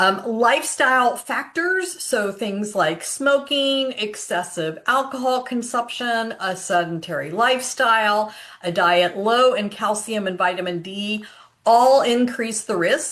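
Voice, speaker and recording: Speaking at a fairly slow pace, a woman with a fairly high pitch has an unremarkable speaking voice and lively intonation. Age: 60s. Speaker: health coach sharing personal experience. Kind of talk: casual informative vlog. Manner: conversational with frequent fillers.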